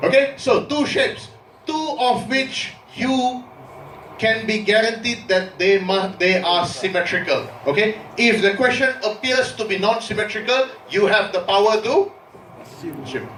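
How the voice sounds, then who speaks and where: A man's high voice at a fairly slow pace, with ordinary pitch variation, audible room echo and noticeable background noise. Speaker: university lecturer. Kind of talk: lecture.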